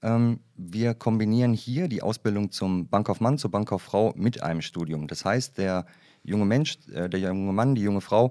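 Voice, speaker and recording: A man speaks in a normal speaking voice at a moderate pace, fairly low in pitch with lively intonation, in a very clean recording with a silent background. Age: 40s. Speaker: HR development manager at a bank. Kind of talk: casual interview.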